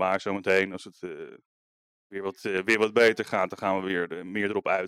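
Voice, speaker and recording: The recording of this man is dry and close without any echo, and he talks fairly quickly. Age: 30s. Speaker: visual artist and art teacher. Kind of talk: interview. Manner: hesitant, many fillers and repetitions.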